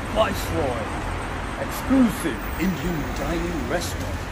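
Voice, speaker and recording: A man's speech comes through loud background noise. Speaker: presenter. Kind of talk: casual promotional presenting. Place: street. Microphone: phone near.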